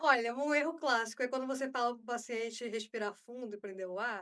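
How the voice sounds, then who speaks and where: A woman speaks with a Carioca accent at a fairly quick pace. Her fairly high voice has a bright, sharp tone and ordinary pitch variation. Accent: Carioca (Rio de Janeiro). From Rio de Janeiro, Brazil. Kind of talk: explaining, conversational.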